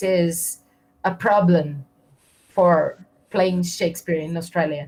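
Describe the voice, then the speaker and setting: At a fairly slow pace, a woman speaks at medium pitch in a Portuguese accent, her voice somewhat breathy. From Brazil. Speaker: interviewer. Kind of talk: interview.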